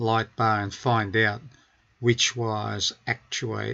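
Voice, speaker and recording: Very slow and flat, a man speaks in a monotone with an Australian accent. His pitch sits fairly low. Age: 70s. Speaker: car DIY hobbyist. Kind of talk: tutorial.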